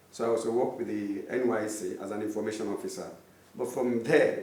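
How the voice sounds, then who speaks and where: Male speech amid noticeable background noise, with audible echo from the room. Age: 50s. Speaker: artist. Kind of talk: interview.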